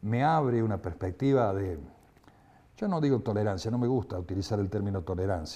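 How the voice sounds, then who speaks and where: A dark, mellow, somewhat breathy tone at a fairly quick pace. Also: man. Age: 70s. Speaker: human rights activist. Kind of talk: interview testimony. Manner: halting, with repetitions and fillers.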